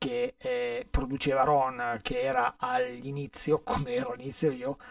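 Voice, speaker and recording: A man's dry, echo-free voice over a quiet background. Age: 60s. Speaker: session guitarist; guest. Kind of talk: casual chat. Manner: halting. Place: studio.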